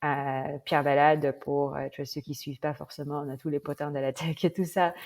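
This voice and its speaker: Flat, monotone intonation at a moderate pace on a very clean recording with a silent background. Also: woman, very deep, low pitch for a woman. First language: not French (speaking French). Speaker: former head of a government tech program. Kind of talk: interview. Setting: podcast. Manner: hesitant, many fillers.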